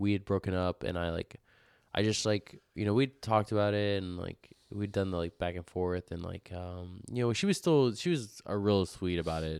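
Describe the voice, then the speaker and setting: In an American accent, a man with a normal speaking voice talks at a moderate pace and fairly low pitch, with ordinary pitch variation. The recording is very clean with a silent background, dry and close with no echo. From Houston area, Texas. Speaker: podcast host. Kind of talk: casual chat.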